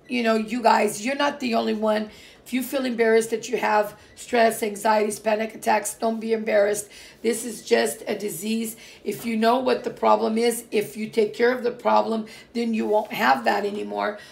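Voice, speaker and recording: Vocal fry, fairly even intonation and a moderate pace. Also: woman, fairly high pitch for a woman. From Portuguese background. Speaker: vlogger. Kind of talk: casual vlog talk. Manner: hesitant, many fillers.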